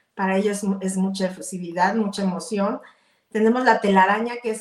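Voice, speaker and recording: Medium-pitched female speech, moderate in pace, with fairly even intonation. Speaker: entrepreneur. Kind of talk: interview.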